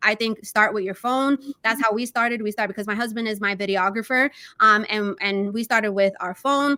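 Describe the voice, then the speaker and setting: A woman with a New York accent and a bright, sharp tone speaks at a fairly high pitch and moderate pace with fairly even intonation, the sound dry and close with no echo. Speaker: real estate agent. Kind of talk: interview. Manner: casual, many fillers.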